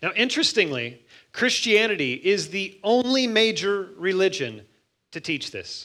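A man's high, raised and projected voice, bright and sharp in tone, at a very slow pace with very wide pitch swings and big swings in loudness. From US Midwest, Missouri. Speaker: pastor. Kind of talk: sermon. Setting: church.

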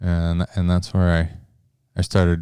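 In an Upper Midwest accent, a man speaks with very deep, low pitch and a dark, mellow tone in a dry, close sound with no echo. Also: very clean recording, silent background. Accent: Upper Midwest (Minnesota). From Minnesota. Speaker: backcountry bowhunter. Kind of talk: interview. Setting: studio.

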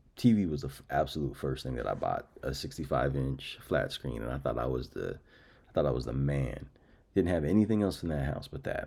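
The voice has vocal fry and a dark, mellow tone, moving at a fairly quick pace with ordinary pitch variation. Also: man, very deep, low pitch for a man. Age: 30s. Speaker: podcast host. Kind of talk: casual monologue.

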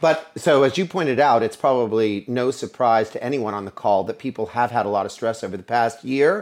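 An American-accented man speaks at a fairly quick pace and medium pitch with lively intonation and hardly any pauses. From Pennsylvania, US (Altoona). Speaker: veterinary management consultant. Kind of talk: interview. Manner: casual, animated.

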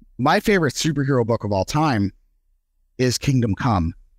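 In a very clean recording with a silent background, a normal speaking voice moves at a fairly quick pace with lively intonation and a dry, close sound with no echo. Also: man. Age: 30s. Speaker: comic book collector. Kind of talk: casual chat.

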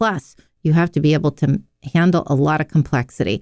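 A woman's very deep, low voice with an American accent, ordinary pitch variation, a dark, mellow tone and a fairly quick pace, in dry, close sound with no echo. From Pittsburgh, US. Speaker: geriatrician. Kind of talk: radio interview.

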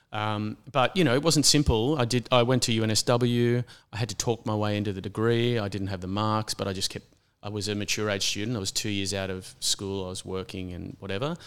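On a very clean recording with a silent background, a man with an Australian accent talks in a fairly low pitch with ordinary pitch variation. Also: fairly quick pace. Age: 50s. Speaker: landscape architect. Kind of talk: interview conversation.

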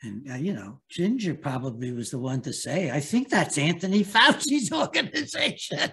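Hardly pausing, a man with a bright, sharp tone and fairly high pitch speaks at a moderate pace with very wide pitch swings. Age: 80s+. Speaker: psychiatrist and author. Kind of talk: interview. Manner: halting.

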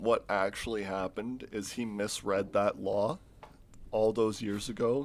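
A man speaks in a normal speaking voice at medium pitch. He talks at a fairly slow pace. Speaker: podcast host. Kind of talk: casual chat.

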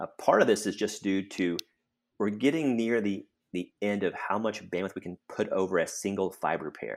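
With an American accent and an unremarkable speaking voice, a man talks at a moderate pace, his fairly low pitch showing ordinary pitch variation. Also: very clean recording, silent background. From central Texas. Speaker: telecom research director. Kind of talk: casual interview conversation.

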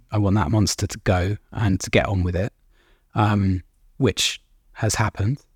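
The recording is very clean with a silent background and a dry, close sound with no echo. The somewhat breathy voice moves at a moderate pace with fairly even intonation and long, frequent pauses. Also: man, fairly low pitch for a man. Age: 30s. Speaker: recovering addict. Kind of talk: interview.

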